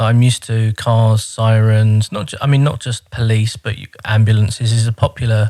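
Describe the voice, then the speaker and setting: With a London accent, a man talks at a moderate pace and medium pitch, his dark, mellow tone staying monotone and flat while his loudness swings widely, hardly any pauses breaking a dry, close sound with no echo. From London (Croydon), England. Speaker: immigrant learner. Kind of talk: casual chat.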